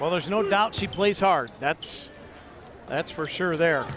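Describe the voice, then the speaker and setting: Noticeable background noise runs beneath speech that moves fairly slowly. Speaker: sports commentator. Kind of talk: live commentary.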